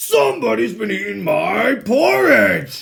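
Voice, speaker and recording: Putting on a growling character voice, a man speaks at a fairly slow pace. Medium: read story.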